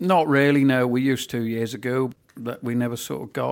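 A man with a Norfolk accent speaks at a medium pitch with fairly even intonation. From Norfolk, England. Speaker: farmer.

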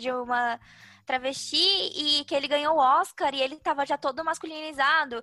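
A woman's raised, projected voice at a moderate pace with ordinary pitch variation. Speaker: podcast co-host. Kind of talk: casual chat.

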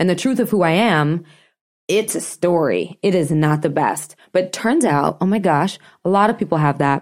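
In a very clean recording with a silent background, a woman talks at a moderate pace in a normal speaking voice with ordinary pitch variation. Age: 30s. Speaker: chef and food activist. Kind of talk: casual interview chat.

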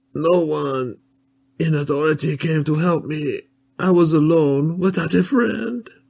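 A man puts on a whiny character voice, fairly high in pitch and fairly slow in pace. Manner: whiny, complaining.

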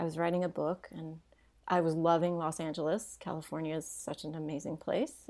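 With a slight Southern US accent, a woman speaks at a fairly quick pace in a fairly low voice. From Tennessee, near Nashville. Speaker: dancer and dance professor. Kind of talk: interview.

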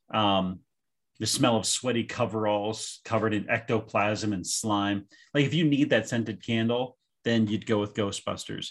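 On a very clean recording with a silent background, a man with an American accent and medium pitch speaks at a moderate pace in an ordinary speaking voice. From Pennsylvania. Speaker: podcast co-host.

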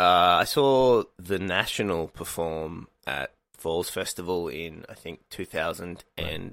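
Very slow yet with hardly any pauses, a man speaks in a very deep, low pitch. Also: ordinary pitch variation. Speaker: comedian and writer. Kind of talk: casual chat. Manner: casual, hesitant with filler words.

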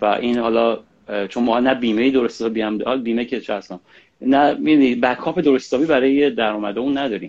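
At a very fast pace, a man talks in a medium pitch. His intonation is fairly even. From Iran. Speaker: singer-songwriter. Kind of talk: casual interview. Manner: halting.

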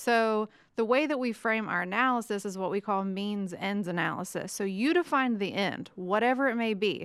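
A woman's normal speaking voice with an American accent, medium in pitch, at a moderate pace with ordinary pitch variation and hardly any pauses, on a very clean recording with a silent background. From West Virginia. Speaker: economics professor. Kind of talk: casual chat.

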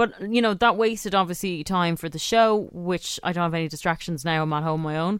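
A woman with an Irish accent speaks at a fairly low pitch with ordinary pitch variation and hardly any pauses. The recording is very clean, with a silent background. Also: fairly quick pace. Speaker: radio host. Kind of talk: casual chat. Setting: studio.

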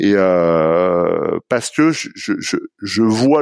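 Intonation is lively throughout. The sound is dry and close with no echo, on a very clean recording with a silent background. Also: man. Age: 40s. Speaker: company executive. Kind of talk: interview. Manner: halting, many repetitions.

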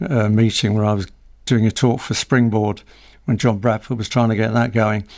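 A man with an ordinary speaking voice talks at a fairly quick pace and medium pitch with fairly even intonation, in a very clean recording with a silent background. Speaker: business news editor and publisher. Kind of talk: casual interview.

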